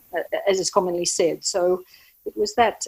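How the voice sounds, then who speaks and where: With an Australian accent, a woman speaks at a moderate pace in a fairly low voice. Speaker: doula and birth educator. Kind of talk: podcast interview. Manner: halting, many fillers.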